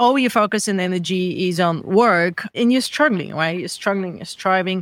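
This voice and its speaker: The speaker has a Bulgarian accent and a moderate pace. The recording is very clean, with a silent background. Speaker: founder of a well-being organization, former marketer. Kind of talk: interview.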